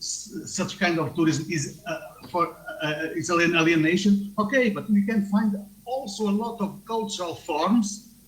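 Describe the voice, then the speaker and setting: Amid noticeable background noise and audible room echo, the speaker goes at a fairly slow pace with ordinary pitch variation. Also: man. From Portugal. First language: Portuguese. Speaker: tourism researcher. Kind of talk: conference talk via video link. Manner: halting.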